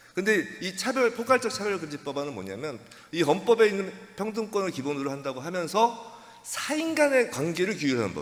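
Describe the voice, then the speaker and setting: The pitch swings very widely at a fairly quick pace. Noticeable background noise runs underneath. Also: man. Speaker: pastor and lawyer. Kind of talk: lecture. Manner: fast.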